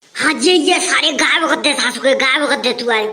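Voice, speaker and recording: A female-sounding cartoonish character voice pitches high. It races along at a very fast pace. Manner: loud, brash.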